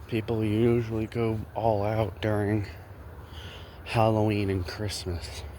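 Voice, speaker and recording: Amid audible room echo, a man with a fairly low pitch and fairly even intonation speaks very slowly, leaving long, frequent pauses. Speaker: small content creator, vlogger. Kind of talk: casual walking vlog commentary. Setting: outdoors, walking around neighborhood. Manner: rambling, halting with fillers.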